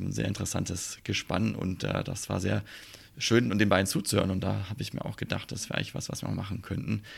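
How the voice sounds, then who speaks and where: A man with a very deep, low pitch and vocal fry talks at a very fast pace with ordinary pitch variation. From Swabia, Germany. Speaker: airline pilot and podcaster. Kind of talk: casual chat.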